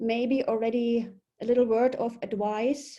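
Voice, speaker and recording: A woman's high-pitched voice with a German accent, dark and mellow in tone, with fairly even intonation. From Germany. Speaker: polar expedition leader. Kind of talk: webinar presentation. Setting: video webinar.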